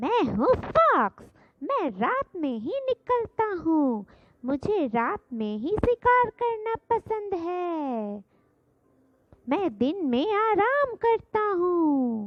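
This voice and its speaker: In a put-on character voice, a woman speaks very slowly at an extremely high pitch, with very wide pitch swings. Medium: read story.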